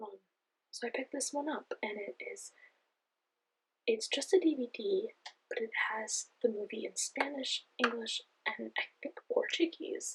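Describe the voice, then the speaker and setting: A soft-spoken woman talks fairly slowly at a high pitch, with long, frequent pauses. Her pitch swings very widely and her loudness shifts a lot. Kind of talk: ASMR show-and-tell of DVD collection.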